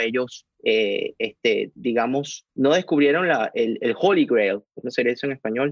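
A man speaks at a very slow pace, the sound dry and close with no echo. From Venezuela, Caracas. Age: 40s. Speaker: investor and financial analyst. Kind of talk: interview. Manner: halting, many repetitions.

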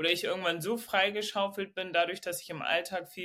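Speaking at a moderate pace, a woman with a fairly low pitch and a bright, sharp tone uses ordinary pitch variation in a very clean recording with a silent background. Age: 30s. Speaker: coaching client. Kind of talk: personal coaching conversation.

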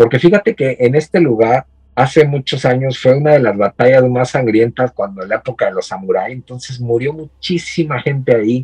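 A man talks at a fairly quick pace and medium pitch, somewhat breathy with ordinary pitch variation, in a dry, close sound with no echo. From Mexico, State of Mexico (Ecatepec). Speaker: horror collector and content creator. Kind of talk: casual interview chat.

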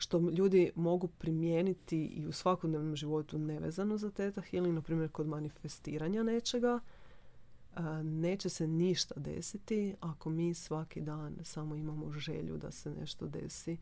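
Her voice sits fairly low in pitch. This woman's tone comes across as dark and mellow. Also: ordinary pitch variation, moderate pace. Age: 30s. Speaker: theta healing practitioner. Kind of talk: casual chat.

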